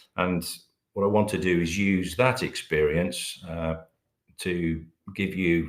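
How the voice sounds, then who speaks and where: A man with a British accent speaks at a fairly slow pace. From Britain. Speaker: company managing director presenting a webinar. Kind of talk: webinar presentation. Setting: online webinar. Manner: hesitant, many filler words.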